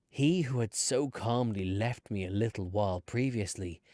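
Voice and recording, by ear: Someone is reading aloud in a natural voice. The pitch moves with ordinary variation.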